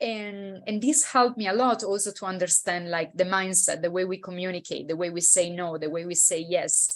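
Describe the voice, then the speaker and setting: A woman with an Italian accent speaks at a medium pitch with ordinary pitch variation. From Italy. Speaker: intercultural consultant. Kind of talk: interview. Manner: hesitant with fillers.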